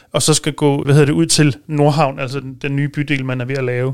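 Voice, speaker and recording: A man speaks in a normal speaking voice at a fairly quick pace, his pitch fairly high and his intonation fairly even. The recording is very clean, with a silent background. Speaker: policy consultant at a motoring organisation. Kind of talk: casual studio discussion. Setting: studio.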